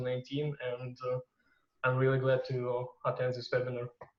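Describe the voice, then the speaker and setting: With a Russian accent, a man of medium pitch talks at a fairly quick pace. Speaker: student panelist. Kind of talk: webinar panel.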